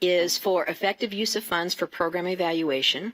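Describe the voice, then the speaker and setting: The tone of this woman's voice is bright and sharp. Her recording is very clean, with nothing heard behind her. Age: 70s. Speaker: state education program director. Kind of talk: presentation at staff meeting. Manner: energetic.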